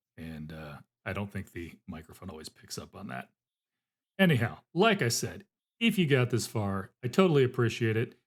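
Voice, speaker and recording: Very wide pitch swings, big swings in loudness and vocal fry. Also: man, medium pitch for a man. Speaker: booktuber, book channel host. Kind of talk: casual weekly update video. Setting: home recording during work break. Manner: fast; casual, filler-heavy with repetitions.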